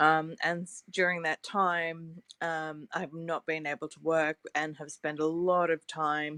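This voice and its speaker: A woman in an Australian accent, very deep and low in pitch, at a very slow pace, with monotone, flat intonation, a bright, sharp tone, big swings in loudness and a dry, close sound with no echo. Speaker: scientist and long covid advocate. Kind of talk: panel discussion. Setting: online audio room.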